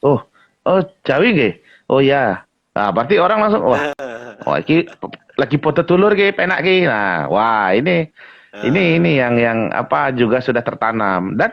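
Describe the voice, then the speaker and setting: A man with a Lampung accent speaks at a fairly high pitch with very wide swings. His loudness stays very even, broken by long, frequent pauses. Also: moderate pace. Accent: Lampung Indonesian. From Indonesia, Lampung. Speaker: guest, Lampung community figure with customary title. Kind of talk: casual interview chat.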